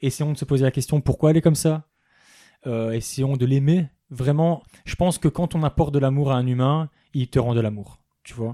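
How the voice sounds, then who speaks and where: With a dark, mellow tone and fairly high pitch, a man speaks at a moderate pace with fairly even intonation and long, frequent pauses. His loudness swings widely in a dry, close sound with no echo. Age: 20s. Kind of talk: casual chat.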